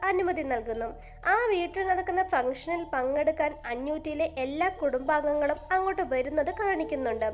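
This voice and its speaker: With music in the background, a woman speaks at extremely high pitch and very even loudness. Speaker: voice-over narrator. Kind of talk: movie story explanation narration.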